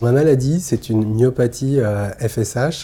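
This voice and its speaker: Very slowly and somewhat breathily, a man delivers his words in a dark, mellow tone. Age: 30s. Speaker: person living with muscular dystrophy, documentary subject. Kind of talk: documentary interview testimony. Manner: hesitant, many filler pauses.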